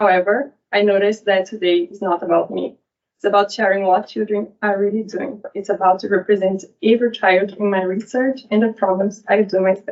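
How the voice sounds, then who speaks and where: A Brazilian accent at a fairly quick pace, with fairly even intonation. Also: woman, medium pitch for a woman. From Brazil, São Paulo. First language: Portuguese. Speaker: PhD researcher. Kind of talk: academic talk.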